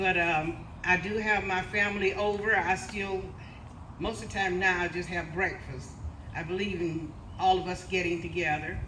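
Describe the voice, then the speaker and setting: Monotone, flat speech from a woman at medium pitch and moderate pace, with audible room echo and noticeable background noise. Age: 80s+. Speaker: community volunteer and great-great-grandmother. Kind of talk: speech at a family brunch event.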